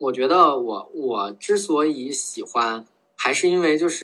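A man with an unremarkable speaking voice and fairly high pitch talks at a fairly slow pace with lively intonation. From Beijing. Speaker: office worker, skier. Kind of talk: casual interview chat.

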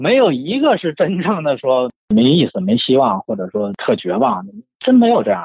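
At a medium speed, the voice leaps between very high and very low pitches. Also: man, fairly high pitch for a man. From Shenyang, northeast China. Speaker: book collector and writer. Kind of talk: casual chat about books.

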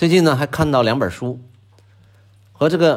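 A man with a fairly high pitch speaks with lively intonation and vocal fry. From Northeast China. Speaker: podcast host. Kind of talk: scripted monologue. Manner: relaxed with frequent filler particles.

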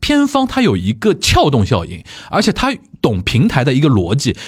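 A man's fairly high pitch with vocal fry and very wide pitch swings. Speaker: podcast host. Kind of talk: casual chat.

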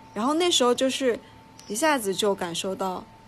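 A woman's lively intonation in a Sichuan accent. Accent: Sichuan-accented Mandarin. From Sichuan, China. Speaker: podcast co-host. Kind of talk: casual chat.

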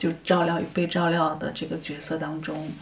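A woman with a fairly low pitch, an ordinary speaking voice and a fairly slow pace. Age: 50s. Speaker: film director. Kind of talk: interview conversation. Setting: face-to-face recording.

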